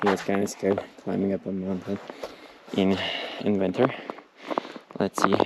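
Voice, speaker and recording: Noticeable background noise runs beneath a man's fairly low, monotone voice with flat intonation. He leaves long, frequent pauses. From Turkey. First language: Turkish. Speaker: travel vlogger. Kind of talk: casual vlog narration. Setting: outdoors on a hiking trail. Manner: halting, with many fillers; quiet, half-whispering.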